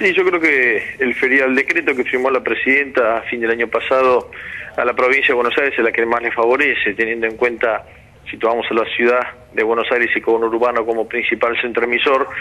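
Here a man speaks at a fairly quick pace. His intonation is fairly even. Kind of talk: interview answer.

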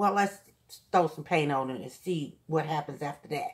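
Soft-spoken delivery at a moderate pace over a quiet background. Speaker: craft hobbyist youtuber. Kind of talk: tutorial. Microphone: phone near.

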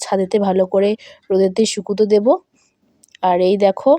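The woman's tone is dark and mellow, at medium pitch. She keeps her intonation fairly even. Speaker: village vlogger. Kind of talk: vlog narration.

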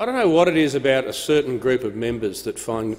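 A man talks at a very fast pace with an Australian accent. Light background noise sits behind him. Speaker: parliamentary speaker; speaker. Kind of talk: chairing parliamentary proceedings. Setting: parliament chamber. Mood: firm, slightly stern in rulings. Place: hall. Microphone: podium.

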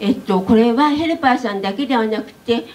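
A woman speaks in a high pitch with ordinary pitch variation. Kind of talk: press conference statement. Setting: press conference room. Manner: formal. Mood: earnest, concerned. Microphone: handheld.

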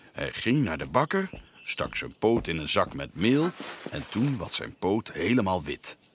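Lively intonation throughout some plain reading aloud

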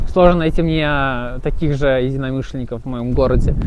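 With light background noise, a man speaks at a fairly quick pace in a dry sound with no echo. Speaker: motorcycle owner vlogger. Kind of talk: casual vlog chat. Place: open country.

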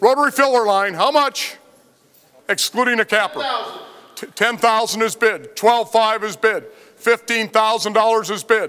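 Raising and projecting his high-pitched voice, a man speaks at a fairly slow pace with long, frequent pauses, ordinary pitch variation and a bright, sharp tone. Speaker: auctioneer. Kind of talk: live auction calling. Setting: warehouse auction floor with bidders.

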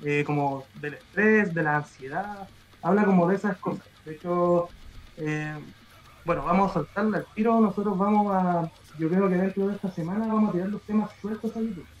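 Over light background noise, a man with a high pitch talks at a moderate pace with ordinary pitch variation. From Chile. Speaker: metal band musician; guest. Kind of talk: casual interview chat; interview answer. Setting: live stream video call. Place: home room. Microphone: video call.

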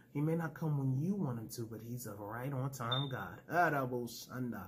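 A somewhat breathy voice with ordinary pitch variation comes through over light background noise. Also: man. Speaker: preacher and YouTube ministry host. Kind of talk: fervent prayer and preaching. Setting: home video recording for YouTube. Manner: fervent, emotional, call-and-response style, praise-filled; animated, exclamatory. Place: home room. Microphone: phone near.

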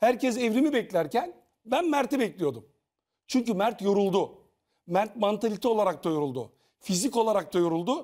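A man's high-pitched voice with a dark, mellow tone and very wide pitch swings, against a quiet background. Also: moderate pace, very even loudness. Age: 50s. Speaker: TV panelist, former reality show contestant; TV panel commentator. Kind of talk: casual panel discussion. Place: studio.

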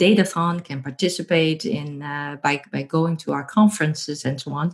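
Speaking in a Dutch accent, a woman uses a very deep, low pitch with ordinary pitch variation at a moderate pace over a quiet background. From Netherlands. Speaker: professor. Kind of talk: interview. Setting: remote call. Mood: warm, cheerful. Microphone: earbuds.

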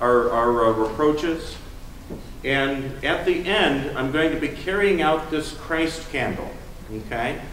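A man at a fairly slow pace, with audible room echo and light background noise. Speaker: pastor giving announcements. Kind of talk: service announcements. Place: church.

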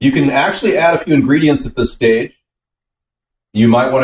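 With audible room echo around him, a man speaks at a fairly high pitch, sounding somewhat breathy, with ordinary pitch variation. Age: young. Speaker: home cooking video host. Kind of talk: casual cooking tutorial. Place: kitchen.

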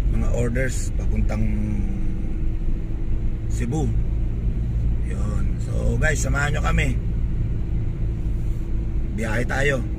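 A man speaks at a very slow pace with long, frequent pauses, his voice dry and free of echo over loud background noise. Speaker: vlogger. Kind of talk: casual vlog chat. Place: car. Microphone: phone near.

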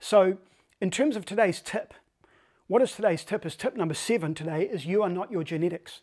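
The speaker is a man. He talks very quickly. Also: quiet background. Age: 50s. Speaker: health and wellness coach; health coach. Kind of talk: direct-to-camera tip video; sales pitch. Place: home room. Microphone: lapel.

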